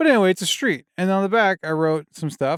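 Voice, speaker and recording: In a dry recording with no echo and a quiet background, a man with a non-native accent speaks at a fairly quick pace with lively intonation. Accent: has an accent, slurs words. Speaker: filmmaker and writer, video creator; video creator. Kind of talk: casual vlog tutorial. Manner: slurred speech; casual, rambling self-corrections. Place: home room. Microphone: studio mic.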